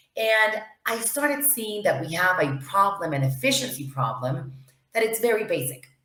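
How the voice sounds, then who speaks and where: Audible room echo surrounds a woman speaking at a medium pitch and a moderate pace. Her pitch swings very widely. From Venezuela. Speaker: lawyer and knowledge management officer. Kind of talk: interview. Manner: hesitant, many fillers.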